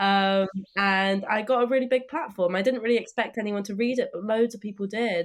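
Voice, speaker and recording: At a moderate pace and with fairly even intonation, a woman speaks at a medium pitch against a quiet background. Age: young. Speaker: environmental campaigner. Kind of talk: interview. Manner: hesitant fillers.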